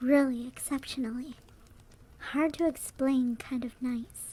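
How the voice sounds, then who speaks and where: A woman's high-pitched voice with a dark, mellow tone and fairly even intonation. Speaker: VTuber. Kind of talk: horror story narration.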